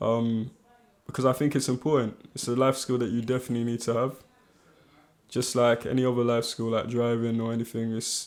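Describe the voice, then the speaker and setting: In a London accent, a man talks at a fairly quick pace and medium pitch, his intonation monotone and flat. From northwest London. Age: 30s. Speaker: actor and presenter. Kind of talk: casual interview chat.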